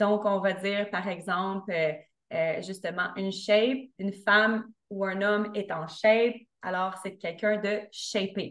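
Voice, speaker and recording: A woman with a Quebec accent speaking very slowly in a monotone, flat intonation, over a quiet background. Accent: Québécois French. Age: 30s. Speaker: fitness coach and podcaster; fitness coach, podcaster. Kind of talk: interview conversation. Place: home room. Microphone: video call.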